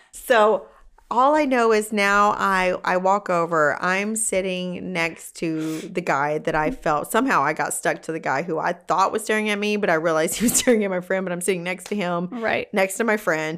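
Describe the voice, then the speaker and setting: Recorded very cleanly with a silent background, a woman with a plain, everyday voice and medium pitch talks at a moderate pace with hardly any pauses and ordinary pitch variation. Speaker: podcast co-host, salon worker. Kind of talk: casual chat.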